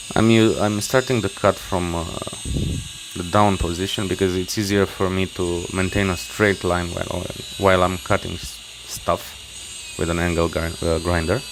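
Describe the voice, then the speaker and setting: A man with a non-native accent speaks with a very deep, low pitch. His intonation is fairly even, and there is noticeable background noise. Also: moderate pace. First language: not English. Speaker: knife maker. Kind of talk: workshop tutorial voice-over. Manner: halting, many fillers and restarts.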